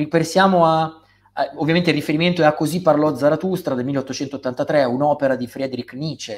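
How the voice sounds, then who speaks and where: Fairly high in pitch, a man talks at a fairly quick pace with fairly even intonation. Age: 30s. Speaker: writer and philosopher; guest. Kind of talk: interview. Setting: live stream. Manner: hesitant, with repeated words and fillers.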